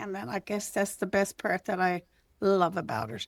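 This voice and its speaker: The sound is dry and close, with no echo. A woman talks at a medium pitch with vocal fry. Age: 70s. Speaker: podcast host's mother. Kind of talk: casual chat.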